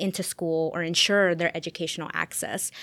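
A woman with an American accent at a moderate pace, in a normal speaking voice. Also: dry, close sound with no echo, very clean recording, silent background. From Las Vegas, US West. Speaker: historian. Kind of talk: interview.

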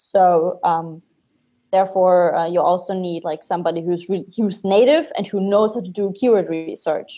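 In a German accent, a woman speaks at a medium pitch and a moderate pace with ordinary pitch variation. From Germany. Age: 20s. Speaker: Amazon agency owner. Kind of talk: casual interview.

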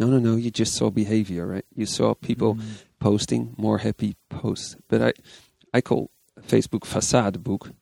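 A man speaks with a Dutch accent, and the sound is dry and close with no echo. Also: moderate pace. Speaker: persuasion psychology consultant. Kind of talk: interview. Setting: conference venue.

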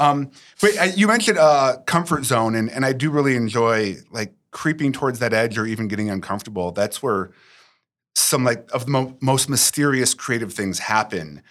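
A man talks in a normal speaking voice at a medium pitch, with lively intonation and a moderate pace. The recording is very clean, with a silent background. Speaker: podcast producer asking questions. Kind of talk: casual interview chat.

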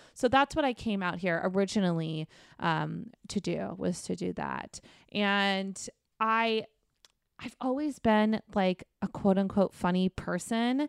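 An unremarkable speaking voice with an American accent talks at a fairly slow pace with ordinary pitch variation, in a dry, close sound with no echo on a very clean recording with a silent background. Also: woman, medium pitch for a woman. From Arizona. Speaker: comedian. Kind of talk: casual chat.

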